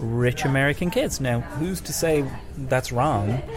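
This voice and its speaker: Someone with an Irish accent speaks against noticeable background noise. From Ireland. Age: 30s. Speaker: podcaster, film reviewer guest. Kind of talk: casual chat.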